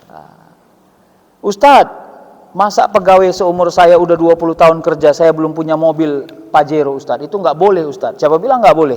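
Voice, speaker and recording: A man talks at a very fast pace. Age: 40s. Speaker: Islamic preacher and professor. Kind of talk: sermon. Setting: mosque with audience. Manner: conversational, addresses audience directly.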